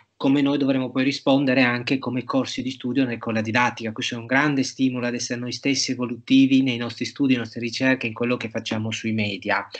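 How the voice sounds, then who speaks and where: A man speaks against a quiet background. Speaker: professor and moderator; professor, moderator. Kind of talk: seminar moderation. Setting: video call. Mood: warm, appreciative. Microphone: earbuds.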